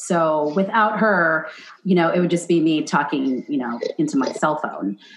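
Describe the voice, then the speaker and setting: A woman speaks in an animated tone with lively intonation over noticeable background noise. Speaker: chef and podcast host. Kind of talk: casual chat. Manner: fast.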